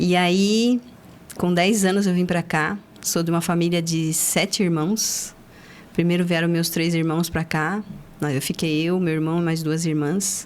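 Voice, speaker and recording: A woman speaks in an unremarkable speaking voice, fairly low-pitched and fairly slow, with very even loudness and fairly even intonation. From southern Brazil (Paraná, raised in Joinville, Santa Catarina). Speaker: accountant, firm founder. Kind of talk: interview, life story.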